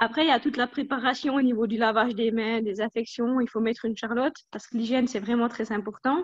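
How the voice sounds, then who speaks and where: Delivered with fairly even intonation, the speech moves very fast with hardly any pauses. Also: woman, fairly high pitch for a woman. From Switzerland, Jura. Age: 20s. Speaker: dairy technologist. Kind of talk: interview.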